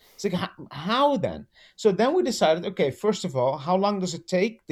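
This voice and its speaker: A man with a Dutch accent, high-pitched, with very wide pitch swings. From Netherlands. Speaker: animal trainer. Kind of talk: casual interview chat. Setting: video call.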